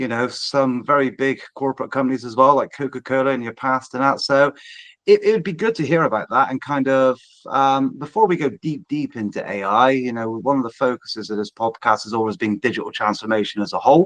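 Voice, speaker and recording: In a West Country accent, a man speaks at a fairly quick pace and medium pitch with ordinary pitch variation, the sound dry and close with no echo. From England, Bristol / Southwest. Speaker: podcast host, digital transformation business. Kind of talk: podcast interview.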